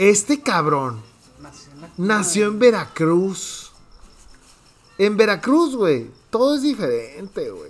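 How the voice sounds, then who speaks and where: A man with a high pitch speaks at a very slow pace, with very wide pitch swings, big swings in loudness and long, frequent pauses. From Mexico, Hermosillo, Sonora. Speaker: podcast host. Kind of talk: casual chat.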